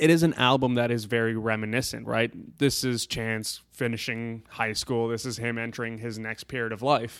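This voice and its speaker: With a normal speaking voice at medium pitch, a man talks at a moderate pace with hardly any pauses and fairly even intonation. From Canada. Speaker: guest. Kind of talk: casual chat over drinks.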